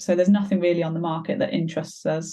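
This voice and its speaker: Fairly low in pitch, a woman speaks with a dark, mellow tone. Her voice is somewhat breathy, with ordinary pitch variation. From Belgium. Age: 20s. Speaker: stepmum sharing her story. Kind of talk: podcast interview.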